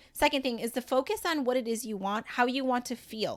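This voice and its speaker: A woman at fairly high pitch, fairly quick pace and energetic tone, in a very clean recording with a silent background. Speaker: podcast host and life coach. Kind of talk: solo podcast monologue. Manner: fast.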